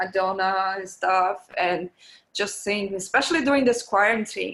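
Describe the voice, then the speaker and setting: A woman of medium pitch with a Portuguese accent, on a very clean recording with a silent background. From Brazil, Belo Horizonte. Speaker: music producer and DJ. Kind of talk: interview. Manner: halting.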